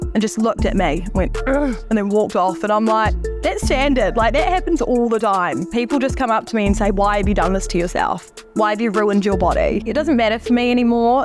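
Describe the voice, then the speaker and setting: Over music in the background, a woman talks at a fairly quick pace with a fairly high pitch and very even loudness. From Manchester, England. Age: 20s. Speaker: heavily tattooed woman. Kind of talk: documentary interview answer.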